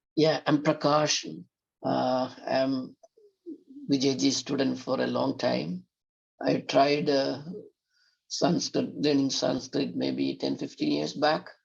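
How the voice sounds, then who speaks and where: A man with a Keralan accent talks at a very slow pace, leaving long, frequent pauses. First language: Malayalam. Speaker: student. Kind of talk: class introduction. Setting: video call. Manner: halting.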